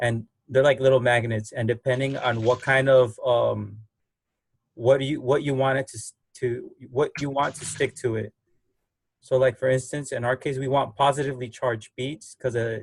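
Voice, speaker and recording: Somewhat breathy and monotone, with flat intonation, a man speaks at a medium pitch and a moderate pace. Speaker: biology lab instructor. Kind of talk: online lab class explanation. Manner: mumbling, halting.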